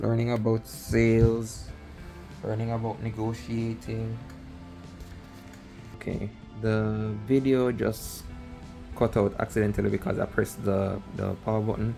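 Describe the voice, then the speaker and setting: A man with an American accent speaks fairly slowly at a medium pitch, with fairly even intonation and long, frequent pauses, while music plays in the background. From outside the US. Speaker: aspiring affiliate marketer. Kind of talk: casual talk to camera.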